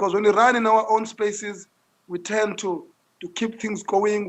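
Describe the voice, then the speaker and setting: A man speaks loudly at a moderate pace, his pitch high for a man. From South Africa, Langa in Cape Town. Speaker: social entrepreneur. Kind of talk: interview. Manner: repetitive stammering.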